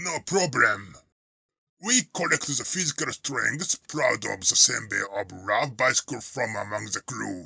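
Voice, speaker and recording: Using a cartoonish character voice, a man speaks at a fairly slow pace in a medium pitch with very wide pitch swings. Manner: blunt, teasing.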